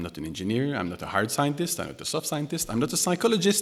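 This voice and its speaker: This man speaks with a Quebec accent, his pitch swinging very widely up and down. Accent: French Canadian accent in English. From Quebec, Canada. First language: French. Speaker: music technology researcher and composer. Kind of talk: keynote lecture. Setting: concert hall with audience. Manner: hesitant, many fillers and restarts.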